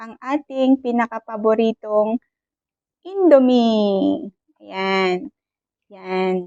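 A woman's fairly high voice at a very slow pace, with lively intonation and a dry, close sound with no echo. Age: 40s. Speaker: overseas Filipino worker vlogger. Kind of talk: casual vlog monologue. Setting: office. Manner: polite, respectful.

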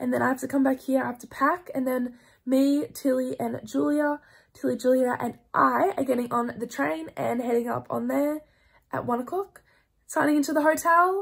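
A woman with an Australian accent speaks at a moderate pace on a very clean recording with a silent background. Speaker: vlogger. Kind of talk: casual vlog talk to camera.

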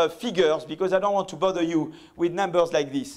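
A man speaks with a French accent against a quiet background. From France. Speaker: economics professor. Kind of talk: lecture. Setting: stage with audience. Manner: halting. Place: hall.

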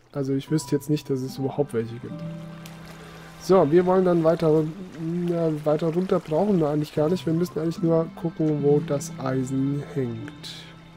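Over music in the background, a man speaks at a moderate pace with fairly even intonation. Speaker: let's player. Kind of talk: casual let's play commentary.

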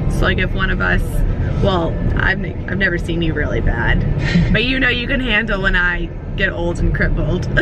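A woman at a moderate pace, dry sound with no echo, loud background noise. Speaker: vlogger. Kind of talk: casual vlog chat. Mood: warm, reflective, chatty. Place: car. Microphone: phone near.

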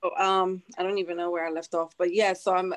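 The speaker has an American accent and there is a quiet background. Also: woman. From United States. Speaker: nurse practitioner and army veteran; panelist. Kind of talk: panel discussion. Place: home room. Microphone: video call.

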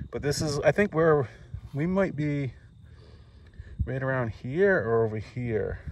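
The intonation is lively. Light background noise sits under a dry sound with no echo. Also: man. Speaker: vlogger. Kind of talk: casual vlog chat. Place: open country. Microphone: phone near.

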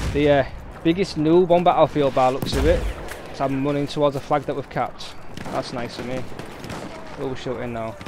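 A man's fairly high voice with a Yorkshire accent, fairly quick and fairly even in intonation, dry with no echo, over noticeable background noise. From Yorkshire, Hull (northern England). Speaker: gaming streamer; gamer streamer. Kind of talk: live gameplay commentary; casual gameplay commentary. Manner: casual, hesitant with fillers. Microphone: poor microphone, may cut out.

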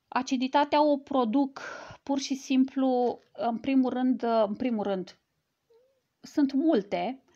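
Over a quiet background, a woman with a high pitch and a dark, mellow tone speaks at a very slow pace with ordinary pitch variation. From Romania. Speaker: cancer survivor sharing personal health story. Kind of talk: live stream talk to a group; casual vlog chat. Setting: live video stream. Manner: halting, with many fillers. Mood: earnest, explanatory. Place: home room. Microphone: earbuds.

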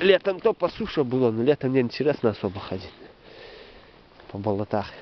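Light background noise sits under a man who talks at a moderate pace. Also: dry sound with no echo. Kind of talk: casual vlog commentary. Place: forest. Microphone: phone near.

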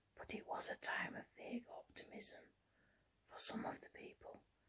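A soft-spoken voice whispers at a moderate pace over light background noise. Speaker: reader. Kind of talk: reading a novel aloud. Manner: soft whispered book reading. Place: home room. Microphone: phone near.

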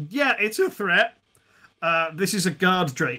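A man talks slowly, his pitch high and his intonation lively. His tone is bright and sharp.

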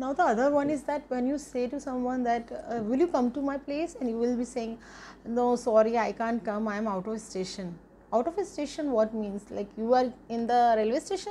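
A woman with an Indian accent, high-pitched, at a moderate pace over light background noise. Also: ordinary pitch variation. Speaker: YouTube English teacher. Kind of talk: tutorial; casual vlog sign-off. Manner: animated. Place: home room. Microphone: phone near.

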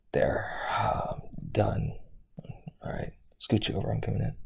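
A man puts on a raspy character voice. He speaks at a moderate pace. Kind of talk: audio roleplay. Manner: gruff, teasing.

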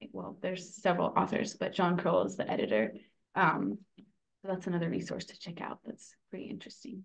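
A woman's fairly low, vocal-fry voice with an American accent, lively intonation and a fairly quick pace against a quiet background. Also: big swings in loudness. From California, San Francisco and Davis; California. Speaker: food cooperative worker-owner and organizer; podcast guest. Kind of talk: interview. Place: home room. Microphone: video call.

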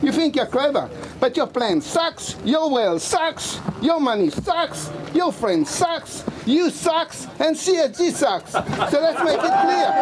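Over noticeable background noise, a man speaks very slowly with an extremely high pitch, lively intonation and very even loudness. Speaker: protest poet. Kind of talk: spoken word performance. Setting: outdoors. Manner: passionate. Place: street. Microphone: camera far.

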